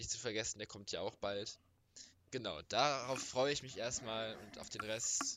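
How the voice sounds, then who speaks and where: A man speaks at medium pitch with fairly even intonation. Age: young. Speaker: football podcast co-host. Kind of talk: casual chat.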